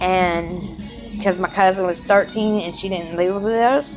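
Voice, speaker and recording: Music plays in the background as a woman speaks with a South Carolina accent. She talks at a moderate pace and medium pitch. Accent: Southern US (South Carolina). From Charleston, South Carolina. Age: 30s. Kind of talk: casual personal video diary.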